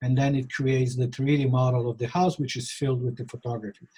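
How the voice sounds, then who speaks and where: A man speaks with a Polish accent. His tone is dark and mellow, and somewhat breathy. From Poland. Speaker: real estate photographer. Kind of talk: interview.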